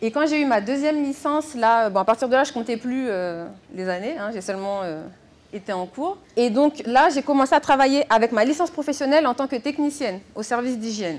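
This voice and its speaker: Her high voice moves at a fairly quick pace with lively intonation. The woman is recorded very cleanly against a silent background. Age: 30s. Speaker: health and hygiene inspector. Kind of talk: conference talk. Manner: hesitant with fillers.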